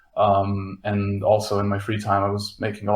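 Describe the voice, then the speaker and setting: A man keeps a moderate pace as noticeable background noise plays along. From Slovenia. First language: Slovenian. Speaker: front-end developer. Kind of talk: podcast panel interview. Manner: hesitant, many fillers.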